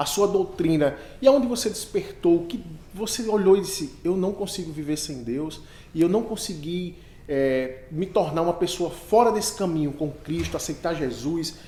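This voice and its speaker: A high-pitched man with lively intonation at a moderate pace, amid noticeable background noise and audible room echo. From Northeast Brazil. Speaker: podcast host. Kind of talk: interview.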